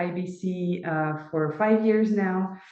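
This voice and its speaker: A woman speaks at a medium pitch with monotone, flat intonation. Noticeable background noise and audible room echo are present. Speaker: training company assistant manager. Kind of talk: webinar presentation. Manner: halting, many fillers.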